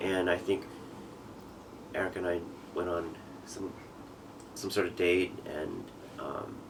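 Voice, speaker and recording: With an American accent, a man speaks fairly slowly in a very deep, low voice, his intonation flat and monotone, and the room echo is audible. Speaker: father telling his life story. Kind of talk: testimony. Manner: halting.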